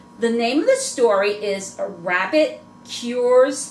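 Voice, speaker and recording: A woman's fairly high, lively voice at a very slow pace, with audible room echo and noticeable background noise. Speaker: reborn doll collector vlogger. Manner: halting, trouble pronouncing words.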